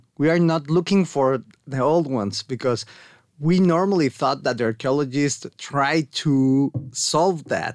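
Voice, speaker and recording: Delivered at a fairly slow pace with ordinary pitch variation, the voice has a dry, close sound with no echo. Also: man. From Mexico. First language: Spanish. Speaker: archaeologist and anthropology researcher. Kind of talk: casual interview. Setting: studio.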